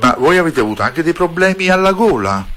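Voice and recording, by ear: A man with a fairly high pitch, a fairly bright tone, big pitch swings and a fairly quick pace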